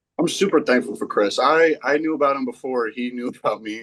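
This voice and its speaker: A man's voice with an American accent and ordinary pitch variation, dry and close with no echo. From North Carolina, Waxhaw. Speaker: college football player. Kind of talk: podcast interview. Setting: remote call. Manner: halting.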